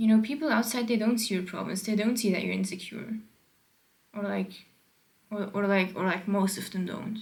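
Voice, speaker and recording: Speaking with a non-native accent, a woman talks at a moderate pace and medium pitch, with vocal fry. Her intonation stays fairly even, broken by long, frequent pauses. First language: not English. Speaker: vlogger. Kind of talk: casual monologue. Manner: rambling with many fillers.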